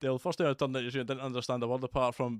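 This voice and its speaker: In a Scottish accent, a man talks at medium pitch with monotone, flat intonation, on a very clean recording with a silent background and a dry, close sound with no echo. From Scotland, Motherwell near Glasgow. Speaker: video game streamer. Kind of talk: live gameplay commentary. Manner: casual, conversational.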